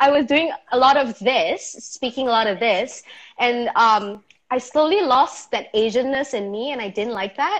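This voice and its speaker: A woman with a Malaysian accent speaks at a moderate pace in a high voice over a quiet background. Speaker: YouTuber. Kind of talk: casual chat.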